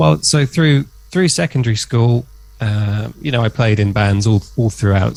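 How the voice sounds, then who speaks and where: The voice is a man's, dark, mellow and somewhat breathy. It sits fairly low in pitch and moves at a moderate pace. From southern England, near Oxford. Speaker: guitarist. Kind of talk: interview. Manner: hesitant, many fillers.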